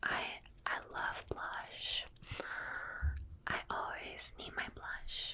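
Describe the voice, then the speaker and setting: A woman whispers at a very slow pace. Noticeable background noise runs beneath her. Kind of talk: ASMR roleplay, friend doing makeup, personal attention. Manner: whispered, soft, close-mic.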